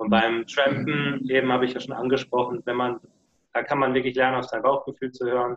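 A man speaks at a fairly quick pace and a medium pitch. His intonation is monotone and flat. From southwest Germany, Lörrach. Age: 20s. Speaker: long-term hitchhiking traveller. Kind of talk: interview. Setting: video call.

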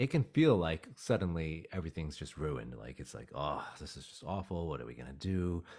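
In a very clean recording with a silent background, a man with an American accent talks at a fairly quick pace in a very deep, low voice with vocal fry, lively intonation and big swings in loudness. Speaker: dog aggression trainer. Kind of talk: casual interview chat.

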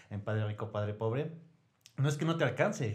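His voice is somewhat breathy, and this man's intonation stays lively throughout. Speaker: clinic administrative director. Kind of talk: casual chat.

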